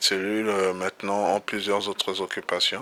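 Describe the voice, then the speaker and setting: The man's pitch is fairly low and his intonation monotone and flat. He moves at a moderate pace. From DR Congo. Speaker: pastor. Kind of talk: interview. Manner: halting.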